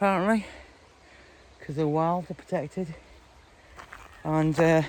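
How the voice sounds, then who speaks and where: Noticeable background noise accompanies a man with a Welsh accent who speaks fairly slowly at a fairly high pitch. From Wales. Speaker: hiking vlogger. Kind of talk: casual vlog narration. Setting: outdoors on a mountain walk. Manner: hesitant, many fillers.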